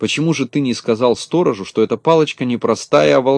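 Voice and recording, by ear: A text read aloud in a natural voice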